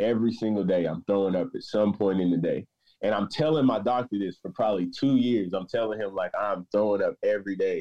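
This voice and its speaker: A man talks at a fairly quick pace with a fairly low pitch. He has a normal speaking voice. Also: ordinary pitch variation. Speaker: patient sharing story. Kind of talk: personal testimony interview.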